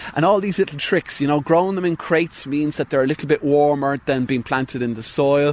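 A man with an Irish accent, fairly high in pitch, at a fairly quick pace and with ordinary pitch variation. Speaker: farmer. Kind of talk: recorded interview. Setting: outdoors on a farm.

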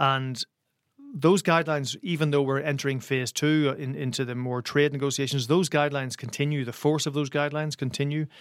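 A man with a Northern Irish accent talks at a fairly quick pace. His fairly high voice keeps a fairly even intonation. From Northern Ireland, Derry. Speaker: journalist and author on Brexit and Ireland. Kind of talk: interview.

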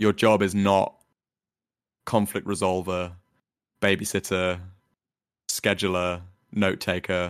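Man with a London accent, fairly low-pitched and fairly even in intonation, on a very clean recording with a silent background. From London, England. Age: 20s. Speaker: dungeon master and software engineer. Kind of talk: casual interview chat.

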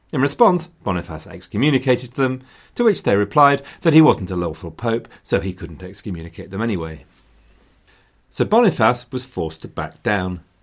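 A man talks at a medium pitch and a moderate pace, his pitch swinging very widely. The recording is very clean with a silent background. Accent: English. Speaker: history podcaster. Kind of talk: scripted history narration. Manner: wry, dry humoured, storytelling; conversational, gently sarcastic.

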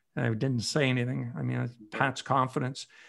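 A man speaks with an Ontario accent. The recording is very clean, with a silent background. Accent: Canadian (Ontario). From Ontario, Canada. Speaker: retired hockey reporter. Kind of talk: interview. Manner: halting.

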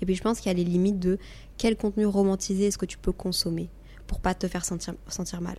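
Speaking very fast, a woman uses a medium pitch with flat, monotone intonation. Her voice sounds somewhat breathy, with a dark, mellow tone. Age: 20s. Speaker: YouTuber and podcaster. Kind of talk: casual chat.

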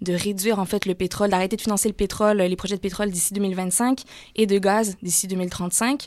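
A woman with a slight Canadian French accent keeps her intonation fairly even on a very clean recording with a silent background. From Canada. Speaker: climate campaigner. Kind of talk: radio interview.

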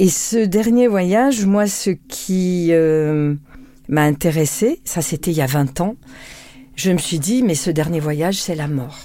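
In a dark, mellow tone and a fairly low pitch, a woman speaks very slowly with lively intonation. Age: 60s. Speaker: public prosecutor. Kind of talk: interview conversation.

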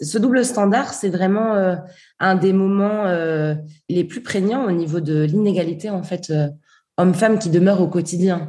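Pitched at a medium level with ordinary variation, a woman speaks at a fairly slow pace amid audible room echo. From southern France. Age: 20s. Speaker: feminist activist and author. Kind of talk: interview.

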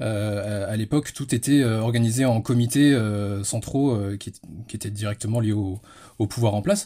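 Medium in pitch, a man's voice has a dark, mellow tone and fairly even intonation at a moderate pace. The recording is very clean, with a silent background. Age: 30s. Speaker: history enthusiast. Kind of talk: interview. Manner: halting.

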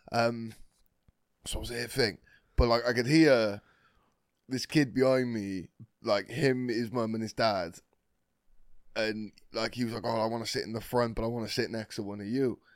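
Speaking at a moderate pace with long, frequent pauses, a man uses a medium pitch and fairly even intonation. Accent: British. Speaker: podcast co-host. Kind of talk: casual chat.

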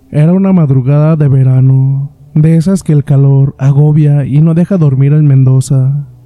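Fairly slow and fairly even, a man's fairly high voice comes through with a dark, mellow tone. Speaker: horror story podcast host. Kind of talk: scripted narration.

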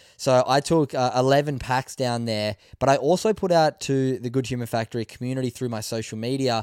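On a very clean recording with a silent background and a dry, close sound with no echo, a man with an Australian accent talks at a fairly quick pace with ordinary pitch variation. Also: medium pitch for a man. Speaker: podcast host. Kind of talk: casual interview. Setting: live at festival.

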